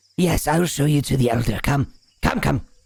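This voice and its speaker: A put-on character voice at a fairly quick pace. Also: man, fairly high pitch for a man. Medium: actual play.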